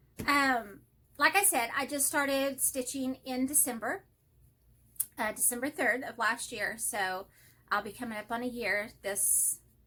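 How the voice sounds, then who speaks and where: Speaking with a Texas accent, a woman uses a high pitch and a bright, sharp tone. Her pace is fairly slow. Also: ordinary pitch variation. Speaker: hobby vlogger. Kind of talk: casual chat. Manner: rambling, self-interrupting.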